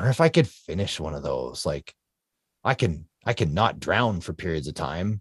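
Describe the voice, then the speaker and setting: A man with a Canadian accent speaks at a moderate pace in a very deep, low, somewhat breathy voice with lively intonation. The sound is dry and close with no echo, on a very clean recording with a silent background. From Canada. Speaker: ultra-endurance athlete. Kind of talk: interview storytelling.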